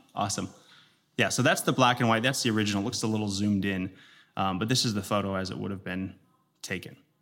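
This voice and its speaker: A man with an American accent talks at a very fast pace and a fairly low pitch. His pitch varies in an ordinary way, and he leaves long, frequent pauses. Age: 30s. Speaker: pastor. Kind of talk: sermon. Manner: halting.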